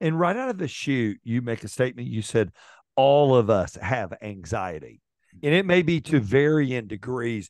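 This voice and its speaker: A man speaks at a moderate pace with lively intonation. The sound is dry with no echo, and the background is quiet. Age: 50s. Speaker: podcast host. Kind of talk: interview. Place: home room. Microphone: studio mic.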